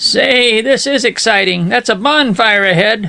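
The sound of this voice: A put-on character voice with a fairly high pitch. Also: moderate pace.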